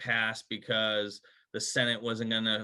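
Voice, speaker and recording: In a Boston accent, a man speaks. His pace is fairly slow. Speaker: HR company founder. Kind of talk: sponsor interview.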